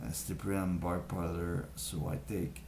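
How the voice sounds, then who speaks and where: A man with a very deep, low voice talks over noticeable background noise, with audible room echo. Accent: French. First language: French. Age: young. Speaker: vlogger sharing health tips. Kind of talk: casual talk to camera. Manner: halting, many fillers.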